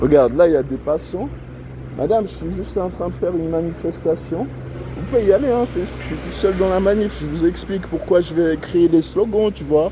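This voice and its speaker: A man speaks fairly quickly as noticeable background noise plays. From Switzerland, Lausanne. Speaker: animal rights activist. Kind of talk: street protest monologue. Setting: outdoors on street. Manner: loud, shouting slogans; casual slangy chatter.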